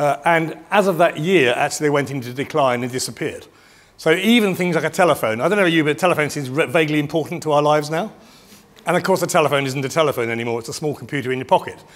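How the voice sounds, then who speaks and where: A man with a British accent talks at a very fast pace, his fairly high voice showing ordinary pitch variation. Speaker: business futurist, keynote speaker. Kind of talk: keynote presentation. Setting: stage with audience at event.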